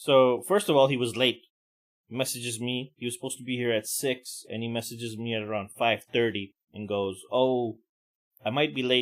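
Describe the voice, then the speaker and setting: A man's ordinary speaking voice at medium pitch, moderate pace and fairly even intonation. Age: middle-aged. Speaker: podcast host. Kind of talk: casual rant.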